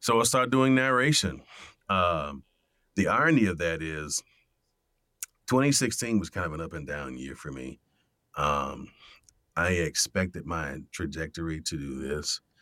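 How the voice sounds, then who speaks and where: A man with an American accent speaks at a fairly slow pace in a very deep, low pitch, his bright, sharp tone carrying vocal fry and very wide pitch swings, with long, frequent pauses on a very clean recording over a silent background. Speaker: voice actor. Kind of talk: casual chat.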